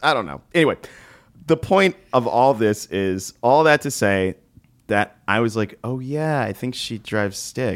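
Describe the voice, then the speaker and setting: With an American accent and an unremarkable speaking voice, a man at medium pitch talks at a fairly slow pace with lively intonation. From New York. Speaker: comedian and podcast host. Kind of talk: casual chat.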